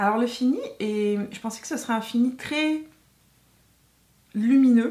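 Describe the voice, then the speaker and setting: A somewhat breathy woman's voice at a fairly high pitch, with ordinary pitch variation and a moderate pace. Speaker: beauty YouTuber. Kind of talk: makeup tutorial chat. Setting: home filming with ring light. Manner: hesitant, many fillers.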